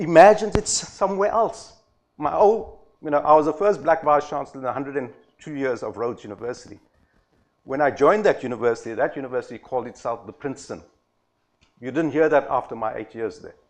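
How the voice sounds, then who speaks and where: A man talks at a very fast clip in a fairly high pitch. His loudness swings widely and his intonation is lively. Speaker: former university vice-chancellor, conference speaker. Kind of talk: conference talk.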